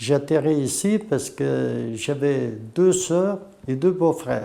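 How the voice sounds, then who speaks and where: Fairly high in pitch yet dark and mellow in tone, a man speaks with a Portuguese accent. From Portugal, Tortozendo. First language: Portuguese (speaking French). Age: 60s. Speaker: former slate quarry worker. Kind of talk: testimony.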